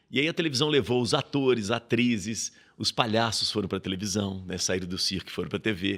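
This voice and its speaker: Quick-paced and lively in intonation, a man talks fairly fast. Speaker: radio broadcaster and professor. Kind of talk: podcast interview. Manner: animated.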